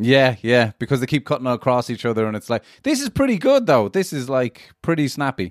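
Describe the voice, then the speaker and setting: An ordinary speaking voice at a fairly quick pace, with ordinary pitch variation and a dry, close sound with no echo. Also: man, medium pitch for a man. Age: 30s. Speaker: guest, comedian. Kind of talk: casual chat. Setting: video call.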